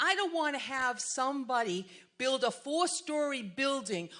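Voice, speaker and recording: A woman's high, raised, projected voice in a Massachusetts accent, bright and sharp in tone, with lively intonation at a fairly slow pace. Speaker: resident speaking at community meeting. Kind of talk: public comment at community meeting. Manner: animated.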